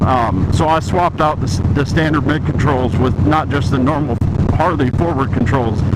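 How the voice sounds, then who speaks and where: Noticeable background noise sits behind a man's fairly high voice. He speaks at a moderate pace with ordinary pitch variation. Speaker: motorcycle vlogger. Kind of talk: casual review vlog while riding. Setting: riding a motorcycle outdoors. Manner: voice vibrating from the ride; hesitant, many fillers.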